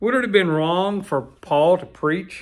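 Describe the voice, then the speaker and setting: Against a quiet background, a man with a high pitch talks at a fairly slow pace with lively intonation. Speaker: pastor. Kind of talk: sermon. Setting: church. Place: office. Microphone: studio mic.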